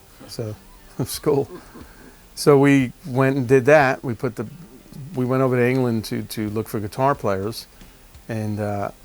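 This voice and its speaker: A man at a medium pitch, moderate pace, with long, frequent pauses. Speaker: rock drummer. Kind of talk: interview answer. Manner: casual, conversational.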